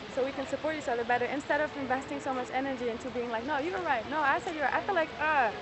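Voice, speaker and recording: A woman with a non-native accent talks at a very fast pace with hardly any pauses, using high pitch and ordinary pitch variation over noticeable background noise. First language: not English. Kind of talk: heated debate. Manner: halting.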